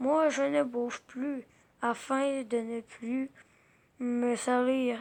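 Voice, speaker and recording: Using a put-on character voice with a high pitch, a woman speaks at a very slow pace. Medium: read story. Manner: grumbling, sarcastic asides.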